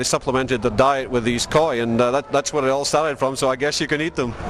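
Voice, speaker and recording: The speaker has a Scottish accent and talks at a very fast pace with fairly even intonation. Noticeable background noise runs under the voice. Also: man. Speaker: hobby society member. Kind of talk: casual interview.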